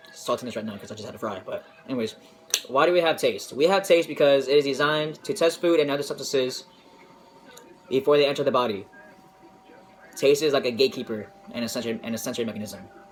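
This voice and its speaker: There is noticeable background noise as a man with a fairly high pitch talks at a very fast pace. His loudness swings widely, and he leaves long, frequent pauses. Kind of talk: informal science presentation. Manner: hesitant, casual.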